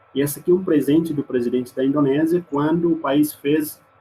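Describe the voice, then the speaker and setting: Speaking in an East Timorese accent, this man has a fairly high pitch. His pace is moderate and his pitch varies in an ordinary way. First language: Mambai (speaking Portuguese). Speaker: exchange student. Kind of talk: presentation with slides. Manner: halting.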